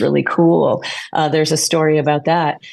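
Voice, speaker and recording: The background is quiet. A woman speaks at a moderate pace. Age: 60s. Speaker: tarot reader and author. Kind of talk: podcast interview. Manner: halting, many fillers.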